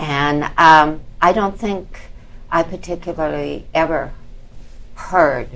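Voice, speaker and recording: Her voice is very deep and low for a woman, and she talks at a very slow pace. Audible room echo surrounds it. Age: 70s. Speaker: retired teacher with cochlear implants. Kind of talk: panel discussion. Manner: hesitant, many fillers.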